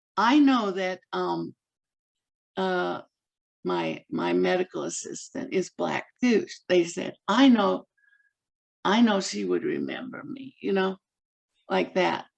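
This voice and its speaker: A woman talks at a very slow pace with long, frequent pauses. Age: 70s. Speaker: physician, audience participant. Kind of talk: group discussion. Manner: halting.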